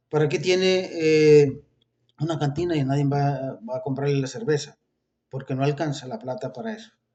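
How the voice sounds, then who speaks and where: A man speaks in an ordinary speaking voice that is fairly high in pitch and has ordinary pitch variation. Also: moderate pace. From Colombia. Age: 60s. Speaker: religious video preacher. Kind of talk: informal religious talk with political commentary.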